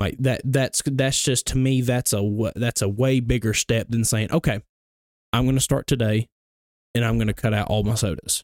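Recorded with a dry, close sound and no echo, a man with an Alabama accent speaks at a moderate pace with a medium pitch and fairly even intonation. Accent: Southern US (Alabama). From US South, Gadsden, Alabama. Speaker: fitness entrepreneur and pest control worker. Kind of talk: casual chat.

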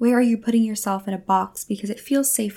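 A woman's somewhat breathy voice with a warm tone and a dark, mellow tone, fairly high in pitch, fairly quick, with fairly even intonation. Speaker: spiritual podcast host and energy healer. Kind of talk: solo monologue, spiritual talk. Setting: home recording at a mic. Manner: warm, conversational, reflective.

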